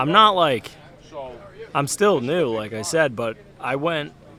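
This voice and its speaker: Loud and at a fairly slow pace, a man speaks with an American accent and very wide pitch swings. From Massachusetts, South Shore. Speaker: duck hunter and content creator. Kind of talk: casual podcast chat. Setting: recorded at an outdoor event.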